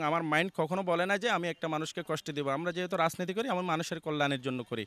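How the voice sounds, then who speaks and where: On a very clean recording with a silent background, a man speaks at a high pitch with ordinary pitch variation, the sound dry and close with no echo. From Bangladesh, Banshkhali, Chittagong. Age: 30s. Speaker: local election candidate. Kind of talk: campaign interview.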